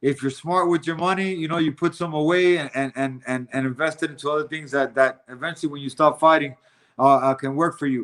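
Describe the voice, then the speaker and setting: This man talks at a fairly quick pace, his pitch fairly high for a man. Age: 40s. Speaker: bare-knuckle fighter and podcaster. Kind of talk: casual chat. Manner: animated.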